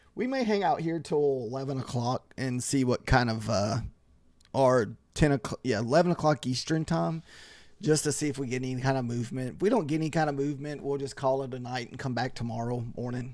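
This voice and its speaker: On a very clean recording with a silent background, a man has a plain, everyday voice, medium in pitch with ordinary pitch variation and a fairly quick pace. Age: 40s. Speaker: day trader streaming live trades. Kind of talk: casual live-stream chat. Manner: relaxed, conversational with fillers.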